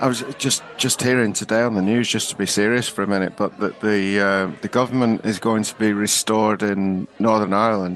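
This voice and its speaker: Over noticeable background noise, the speech runs at a fairly quick pace with hardly any pauses and fairly even intonation. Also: man, fairly low pitch for a man. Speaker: comedy podcast host. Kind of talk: casual podcast banter.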